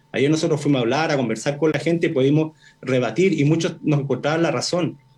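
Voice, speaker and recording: This man's pitch is fairly high and varies in an ordinary way. He speaks at a very fast pace. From northern Chile, Arica. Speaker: professor and constitutional candidate. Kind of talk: radio interview.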